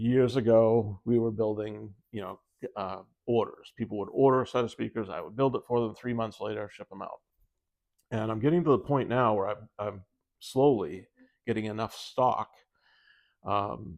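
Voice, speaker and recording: A man talks at medium pitch and a moderate pace, with fairly even intonation. His loudness swings widely, and he leaves long, frequent pauses. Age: 60s. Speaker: speaker builder and company owner. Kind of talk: casual video monologue. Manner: hesitant, many fillers and repeats.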